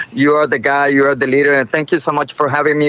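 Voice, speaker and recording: A man speaks with a Spanish accent over noticeable background noise. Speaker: inventor, entrepreneur. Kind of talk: interview, product story.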